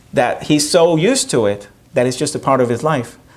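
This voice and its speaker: An animated man's voice, fairly high in pitch, with a Spanish accent. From Puerto Rico. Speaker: professor and performer. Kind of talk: audience Q&A after one-man show. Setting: theater stage with audience.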